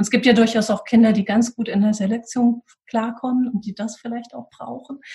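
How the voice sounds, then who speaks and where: A woman with a fairly high pitch speaks at a fairly quick pace, her tone dark and mellow. Her intonation is monotone and flat, and her voice is somewhat breathy. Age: 40s. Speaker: school leadership coach, former head teacher. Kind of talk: interview.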